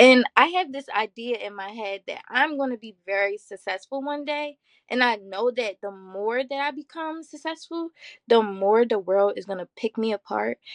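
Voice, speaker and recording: A woman with a Baltimore accent speaks at a high pitch and moderate pace with lively intonation. The sound is dry and close with no echo, over a quiet background. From US, Baltimore. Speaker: mental health advocate, college student. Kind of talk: podcast interview. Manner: confident, assertive.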